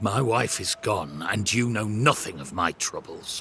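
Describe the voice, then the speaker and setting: Growling in a put-on character voice, the speaker goes at a moderate pace with lively intonation. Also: man, fairly low pitch for a man. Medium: video game. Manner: stiff, pious.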